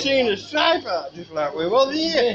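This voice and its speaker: The speaker has a Yorkshire accent and lively intonation, with noticeable background noise behind. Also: man. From South Yorkshire. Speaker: relative reminiscing. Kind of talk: casual reminiscing conversation. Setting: pub. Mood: warm reminiscing. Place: bar. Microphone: camera far.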